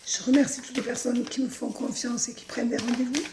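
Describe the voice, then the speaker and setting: Over noticeable background noise, a woman talks in a high-pitched voice. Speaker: psychic coach. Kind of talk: daily guidance message.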